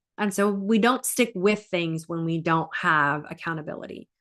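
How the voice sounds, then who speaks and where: This woman has an ordinary speaking voice, fairly low in pitch, moving at a moderate pace with fairly even intonation. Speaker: life coach. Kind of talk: live stream talk with coaching pitch.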